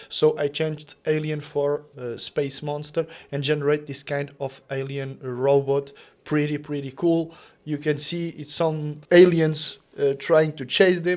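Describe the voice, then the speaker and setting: A fairly high male voice, fairly slow, in monotone, flat intonation. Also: quiet background. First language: not English. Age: 30s. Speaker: content creator. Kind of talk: tutorial. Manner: halting.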